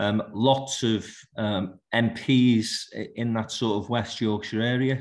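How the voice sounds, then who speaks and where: A man's medium-pitched, monotone voice in a Liverpool accent, flat in intonation. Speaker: business leader, conference panellist. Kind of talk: panel discussion.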